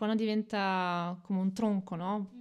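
At a fairly slow pace, a woman speaks in a normal speaking voice. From Italy, Reggio Emilia. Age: 30s. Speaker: podcast guest, migrant woman. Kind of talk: casual interview.

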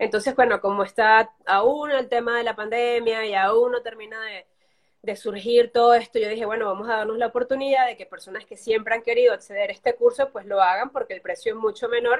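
A woman speaks at a fairly quick pace in a monotone, flat intonation, with big swings in loudness. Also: fairly high pitch for a woman. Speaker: journalist and social media specialist. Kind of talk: casual interview.

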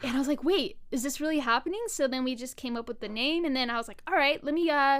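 This woman has a high pitch and an animated tone. The recording is very clean, with a silent background. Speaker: online show co-founder. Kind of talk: casual interview chat. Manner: animated, joking.

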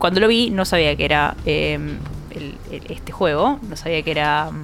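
Over music in the background, a woman with a Rioplatense accent talks at a moderate pace. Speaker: video game podcast panelist. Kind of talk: casual chat.

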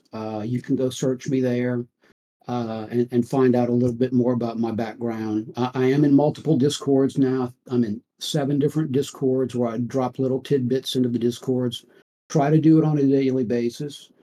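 At a moderate pace, a man talks in an ordinary speaking voice of medium pitch, with fairly even intonation. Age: 60s. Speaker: financial services veteran and trader. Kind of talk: podcast interview. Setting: online audio stage.

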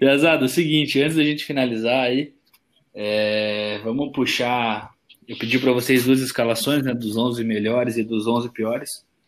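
The man has an ordinary speaking voice at a medium pitch. He keeps a moderate pace and fairly even intonation. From Curitiba, southern Brazil. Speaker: podcast co-host. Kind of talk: casual chat.

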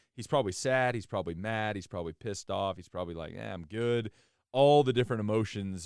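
Very fast and with ordinary pitch variation, a man speaks in a very clean recording with a silent background. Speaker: college football podcast host. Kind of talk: casual sports podcast banter.

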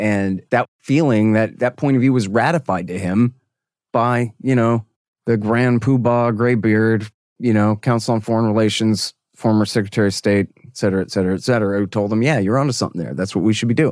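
A man with an American accent talks at a fairly quick pace and medium pitch, in a normal speaking voice with ordinary pitch variation. The background is quiet, and the sound is dry and close with no echo. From Texas. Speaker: foreign policy commentator and radio host. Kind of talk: interview.

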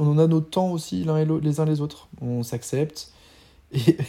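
A man speaks at a moderate pace in a dark, mellow tone. His voice is fairly high, with ordinary pitch variation. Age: 40s. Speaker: serial entrepreneur and educator. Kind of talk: casual interview chat.

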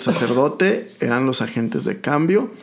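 With an unremarkable speaking voice at medium pitch, a man talks at a fairly slow pace. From Mexico, rural Aguascalientes. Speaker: oncologist. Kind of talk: casual interview chat.

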